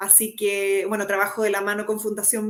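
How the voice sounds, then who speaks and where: Speaking in a Chilean accent, a woman has a medium pitch. Her pace is moderate. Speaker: psychologist. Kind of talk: interview.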